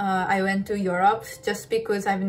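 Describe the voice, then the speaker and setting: Over music in the background, a woman with a Japanese accent speaks at a medium pitch. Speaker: ballet dancer. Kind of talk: interview. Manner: halting.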